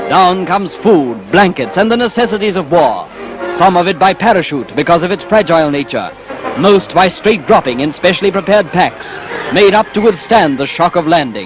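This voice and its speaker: Music plays in the background as a man talks at a high pitch and moderate pace with lively intonation. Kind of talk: 1940s newsreel narration, documentary voiceover.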